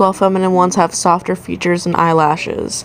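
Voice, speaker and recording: Over noticeable background noise, a woman talks at a fairly quick pace. Her pitch is medium and her intonation fairly even. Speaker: original species creator. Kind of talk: casual voice-over explainer.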